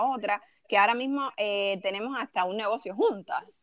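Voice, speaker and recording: A woman speaks in a plain, everyday voice at a moderate pace with lively intonation. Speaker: podcast co-host. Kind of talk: casual chat.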